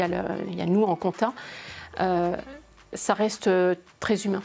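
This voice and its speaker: Her pitch sits at a medium level for a woman. She talks at a fairly quick pace in a monotone, flat intonation. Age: 50s. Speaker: accountant. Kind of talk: interview. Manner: hesitant, many fillers and repetitions.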